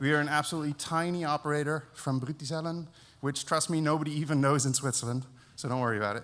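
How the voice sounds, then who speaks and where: Talking at a very fast pace, a man with a fairly high pitch keeps his intonation fairly even. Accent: American. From Netherlands. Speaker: network engineer, conference speaker. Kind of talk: conference talk. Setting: stage with audience, live streamed.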